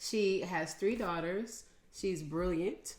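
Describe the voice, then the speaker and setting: This is an ordinary speaking voice. A woman talks in a fairly low pitch with ordinary pitch variation. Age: 60s. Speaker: podcast host. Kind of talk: casual interview.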